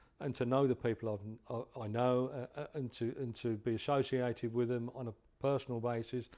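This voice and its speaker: This man, with an English accent, has a dark, mellow tone and talks at a fairly quick pace in a monotone, flat intonation. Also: medium pitch for a man. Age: 70s. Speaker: drag racing hall of fame chairman. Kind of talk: interview. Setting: hotel. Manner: halting, with frequent repetitions.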